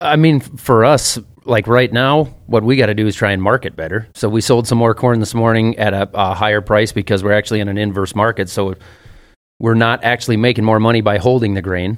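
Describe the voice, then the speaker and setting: A fairly low-pitched man with a Minnesota accent, fairly quick pace and fairly even intonation, in a very clean recording with a silent background. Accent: mild Minnesota. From US Midwest. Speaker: farmer. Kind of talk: casual chat. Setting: studio.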